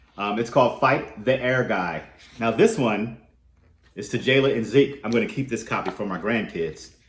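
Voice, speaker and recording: Somewhat breathy and at medium pitch, a man talks at a moderate pace with lively intonation. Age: 60s. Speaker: youth program arts teacher. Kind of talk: reading aloud to children. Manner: halting.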